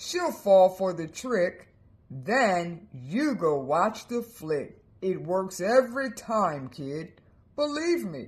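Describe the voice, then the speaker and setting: A put-on character voice at a middle pitch moves at a very slow pace, swinging very widely in pitch. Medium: read story. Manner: slangy, streetwise.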